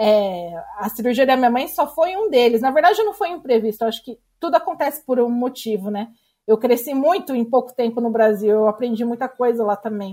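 At a fairly quick pace, a woman with a high pitch and a dark, mellow tone speaks with lively intonation. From Brazil. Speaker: blogger and emigrant. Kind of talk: interview.

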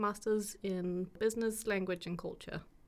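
A woman's medium-pitched, a plain, everyday voice. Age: 20s. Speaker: student podcast co-host. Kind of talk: casual chat.

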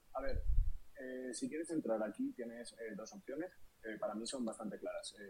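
A man with a Madrid accent, at a moderate pace. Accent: Castilian Spanish (Madrid). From Spain, Madrid. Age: 30s. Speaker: crypto investor and streamer. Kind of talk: podcast interview.

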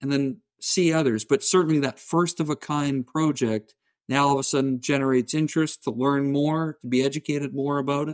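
Featuring a normal speaking voice and a Canadian accent, a man talks at a fairly quick pace and fairly high pitch with fairly even intonation, on a very clean recording with a silent background and a dry, close sound with no echo. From southern Ontario, Canada. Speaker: energy industry consultant. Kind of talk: interview.

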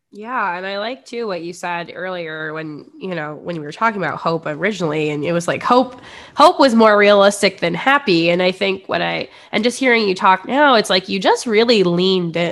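Here a woman talks at a medium pitch. She has a Midwestern American accent. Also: lively intonation, moderate pace, big swings in loudness. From US Midwest. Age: 20s. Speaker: podcast host. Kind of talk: casual chat. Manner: animated.

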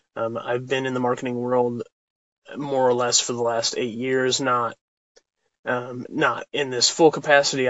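With a medium-pitched voice, a man talks at a moderate pace. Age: 20s. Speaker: marketer and vlogger. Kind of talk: casual vlog monologue. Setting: in a parked car.

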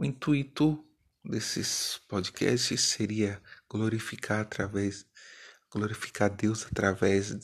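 Against a quiet background, a man speaks very slowly at a fairly low pitch with fairly even intonation. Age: 40s. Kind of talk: spiritual testimony.

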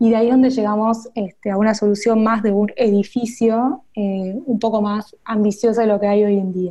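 With an Argentine accent, the speaker has a dark, mellow, somewhat breathy tone, monotone, flat intonation, a moderate pace and hardly any pauses. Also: woman, fairly high pitch for a woman. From Argentina, Buenos Aires. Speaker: UX designer. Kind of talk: interview. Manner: hesitant, frequent fillers.

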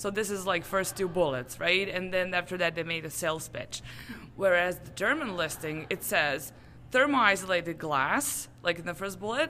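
A woman with a Serbian accent and a medium pitch speaks at a moderate pace with lively intonation. Her loudness swings widely, and there is audible room echo. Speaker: translation business owner. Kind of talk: interview. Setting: conference.

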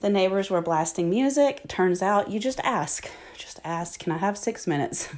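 A woman's put-on character voice, raspy and medium in pitch, with lively intonation at a moderate pace.

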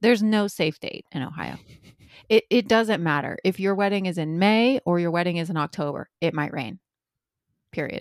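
With an American accent and a plain, everyday voice, a woman speaks at a moderate pace and fairly low pitch, with ordinary pitch variation, in a very clean, dry, close recording with no echo and a silent background. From Indiana. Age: 30s. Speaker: podcast co-host. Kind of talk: casual chat. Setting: in person.

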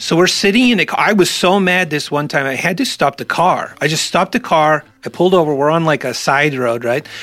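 Here is an unremarkable speaking voice with lively intonation. It goes at a fairly quick pace with hardly any pauses. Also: man, fairly high pitch for a man. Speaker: podcast host. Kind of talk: casual comedic commentary. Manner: jokey, rambling.

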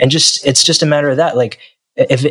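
This is a man speaking. He has a New Jersey accent. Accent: American, New Jersey. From US, New Jersey. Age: 20s. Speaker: singer-songwriter. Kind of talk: interview.

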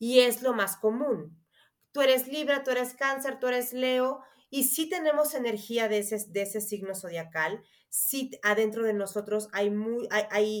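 A woman speaks in a plain, everyday voice with ordinary pitch variation. Her pace is fairly slow. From Mexico. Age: 30s. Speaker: astrologer. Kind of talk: interview.

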